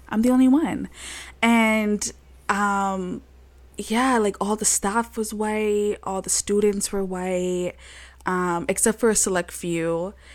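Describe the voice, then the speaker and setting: A woman with a Toronto accent speaks at a very slow pace, her intonation fairly even. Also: medium pitch for a woman, very clean recording, silent background. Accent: Canadian (Toronto). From Toronto, Canada. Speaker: podcast co-host. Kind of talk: casual chat.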